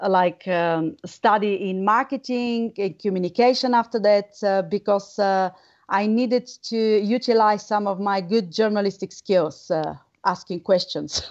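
A woman with a Bulgarian accent speaks at a medium pitch, her intonation fairly even. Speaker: researcher and former radio journalist. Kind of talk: interview. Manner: halting, many fillers.

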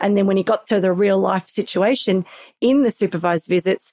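A woman with a medium pitch and an Australian accent, fairly even intonation, a moderate pace, and a dry, close sound with no echo. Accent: Australian, sometimes mistaken for English. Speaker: parenting skills coach. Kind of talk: interview conversation.

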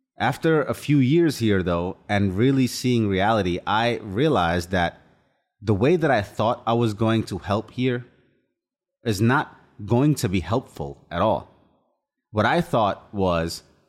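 This man has an unremarkable speaking voice at a medium pitch, with lively intonation. The loudness stays very even, and the recording is very clean with a silent background. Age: 30s. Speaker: podcast host. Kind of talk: solo motivational monologue. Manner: earnest, reflective.

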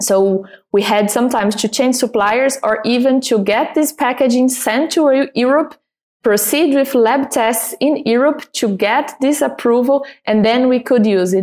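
At a moderate pace, a woman speaks with a Portuguese accent at a high pitch. Her loudness is very even, and her pitch varies in an ordinary way. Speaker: export manager for a cosmetics company. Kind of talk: interview.

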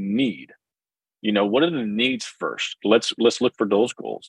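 A man with an American accent talks at a fairly quick pace. He has an unremarkable speaking voice at medium pitch. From US Northeast (New Jersey). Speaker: financial coach. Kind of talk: casual interview.

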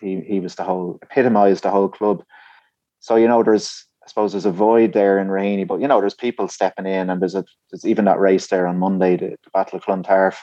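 A man with an Irish accent talks very fast at a fairly low pitch, in a dark, mellow tone with fairly even intonation and a dry, close sound with no echo. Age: 30s. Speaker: distance runner. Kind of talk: interview.

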